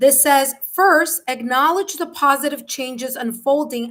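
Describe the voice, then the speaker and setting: With a New York accent, a woman speaks at a fairly slow pace in a high pitch, with ordinary pitch variation. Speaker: tarot reader. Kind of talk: live tarot reading. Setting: livestream.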